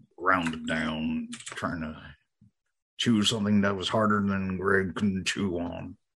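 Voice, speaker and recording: A put-on character voice speaks at a fairly slow pace with fairly even intonation. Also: man, very deep, low pitch for a man. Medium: actual play. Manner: folksy, simple grammar, talks about himself in the third person.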